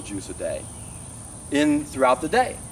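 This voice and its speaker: The speaker is a man. There is light noise in the background. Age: 60s. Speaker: raw vegan health vlogger. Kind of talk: monologue to camera. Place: open country.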